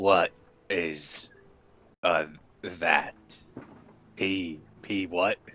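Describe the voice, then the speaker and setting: A put-on character voice delivers every line in a flat monotone. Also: man, very deep, low pitch for a man. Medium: actual play. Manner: dry, sarcastic.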